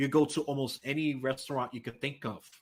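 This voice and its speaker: The recording is very clean with a silent background, carrying a man's bright, sharp voice in a New York accent. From New York City. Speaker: political podcast guest, independent voter. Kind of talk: casual chat. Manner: animated.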